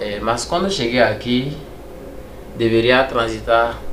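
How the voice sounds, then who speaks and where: A man with a French accent, medium pitch and ordinary pitch variation at a fairly slow pace, with audible room echo and noticeable background noise. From Togo. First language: French (speaking Portuguese). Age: 30s. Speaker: immigrant kitchen assistant. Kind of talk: interview.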